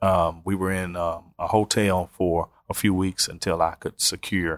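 With a Southern US accent, the speaker talks in monotone, flat intonation on a very clean recording with a silent background and a dry, close sound with no echo. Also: man. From US South. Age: 30s. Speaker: pastor. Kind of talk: personal testimony.

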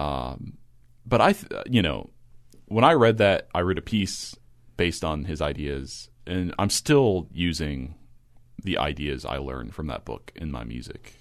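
A man with a very deep, low pitch and an American accent talks at a fairly slow pace with lively intonation and vocal fry, over a quiet background. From rural Kentucky, US. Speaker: composer. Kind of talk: casual interview.

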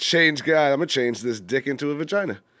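A man talks with a normal speaking voice. His intonation is lively and his pace moderate. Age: 30s. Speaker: co-host.

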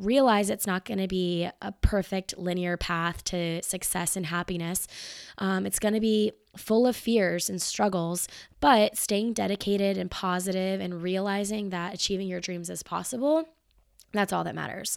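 Very clean recording with a silent background, where a woman speaks in an American accent at a medium pitch. Her pace is moderate and her pitch varies in an ordinary way. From US South, Marietta, Georgia. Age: 20s. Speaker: podcast host. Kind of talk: solo podcast monologue. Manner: casual, filler-heavy.

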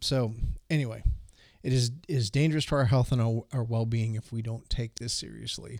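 A man with an unremarkable speaking voice talks fairly quickly at a medium pitch, his intonation fairly even. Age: 50s. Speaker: podcast co-host. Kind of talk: casual chat about faith. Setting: remote recording over the internet.

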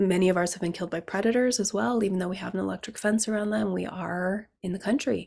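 In a very clean recording with a silent background, a woman with an ordinary speaking voice talks at a medium pitch with ordinary pitch variation. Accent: American. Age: 40s. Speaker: podcast host, herbalist. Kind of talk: solo podcast monologue.

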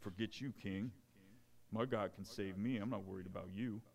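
This man uses a put-on character voice with fairly even intonation. Background noise is clearly audible. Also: fairly low pitch for a man, moderate pace. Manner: defiant, dismissive, sassy.

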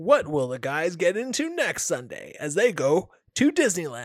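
His voice is a put-on character voice. This man pitches it high. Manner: dramatic announcer delivery.

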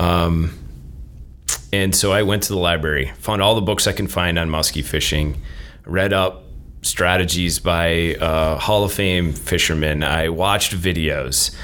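A man speaks in a very deep, low voice at very even loudness, with audible room echo. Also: ordinary pitch variation, fairly slow pace. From Minnesota. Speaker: professor. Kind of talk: casual chat.

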